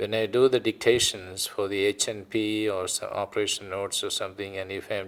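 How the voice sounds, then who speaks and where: Recorded very cleanly against a silent background, a man with an Indian accent speaks in a flat monotone at a fairly low pitch. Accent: Indian, noticeable. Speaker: retired physician. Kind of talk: oral history interview.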